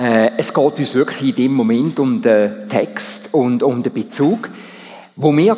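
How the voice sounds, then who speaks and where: Against noticeable background noise, a man with a Swiss accent speaks at a fairly slow pace and a medium pitch, with lively intonation. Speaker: church council president giving sermon. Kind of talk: sermon. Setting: church service.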